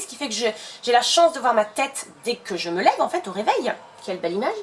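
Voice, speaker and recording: Her pitch is fairly high, and this woman's voice swings very widely at a fairly quick pace. There is noticeable background noise. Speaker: beauty YouTuber. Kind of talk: casual chat while doing makeup. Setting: home filming setup with umbrella light. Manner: chatty, many hesitations.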